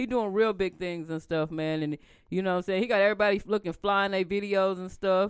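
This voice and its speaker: An animated voice moves at a fairly quick pace on a very clean recording with a silent background. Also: woman, medium pitch for a woman. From Tulsa, Oklahoma. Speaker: podcast co-host. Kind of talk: casual chat.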